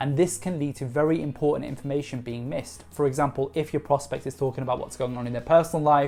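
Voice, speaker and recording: Over music in the background, the speech runs at a very fast pace with ordinary pitch variation and hardly any pauses. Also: woman, very deep, low pitch for a woman. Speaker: sales trainer. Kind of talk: tutorial.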